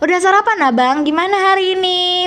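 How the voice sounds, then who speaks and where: The speaker has a West Javanese accent. Noticeable background noise runs underneath. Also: woman. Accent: Sundanese. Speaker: YouTuber. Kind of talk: casual vlog storytelling. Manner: soft, gentle speech; casual, filler-heavy.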